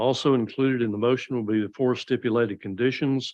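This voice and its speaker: With a Southern US accent and a medium-pitched voice, a man speaks at a moderate pace and fairly even intonation over a quiet background. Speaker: planning board chair. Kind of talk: public meeting, formal motion. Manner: formal.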